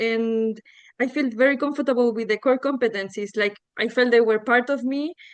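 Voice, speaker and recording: A woman with a Spanish accent speaks high in pitch with fairly even intonation. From Chile. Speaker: coach. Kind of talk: casual testimony. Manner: halting.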